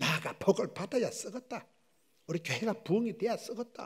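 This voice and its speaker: A man speaks in an animated tone at a moderate pace. The recording is very clean, with a silent background. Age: 60s. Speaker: pastor. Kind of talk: sermon.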